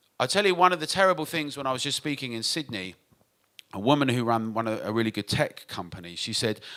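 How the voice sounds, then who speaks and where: A man's bright, sharp voice at medium pitch with a British accent, lively intonation and a fairly quick pace. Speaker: nightlife industry advocate. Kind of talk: conference talk. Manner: fast.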